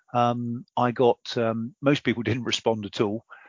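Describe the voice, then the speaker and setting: This is a man speaking. He has an English accent. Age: 60s. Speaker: president of an engineering professional body. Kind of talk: interview.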